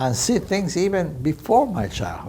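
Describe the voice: A man's fairly slow, slightly mellow voice with vocal fry and big pitch swings, in audible room echo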